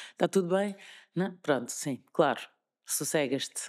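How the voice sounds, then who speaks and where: A woman speaks at a moderate pace in a Lisbon accent with lively intonation. The recording is very clean, dry and close, with a silent background and no echo. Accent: European Portuguese, Lisbon. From Lisbon, Portugal. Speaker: radio presenter. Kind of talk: interview answer. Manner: upbeat, positive.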